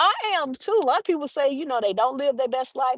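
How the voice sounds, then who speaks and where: A woman speaks in an animated tone with very wide pitch swings, recorded in a dry, close sound with no echo. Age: 60s. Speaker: lifestyle vlogger hosting a live stream. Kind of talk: casual live-stream chat reading viewer comments. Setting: outdoors on a park bench during a walk.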